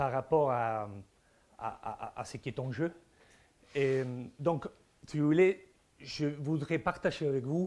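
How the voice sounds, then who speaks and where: A man with an Argentine accent speaks at a fairly high pitch with ordinary pitch variation. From Argentina, Buenos Aires. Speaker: philosopher. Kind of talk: conference talk. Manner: halting, many repetitions and hesitations.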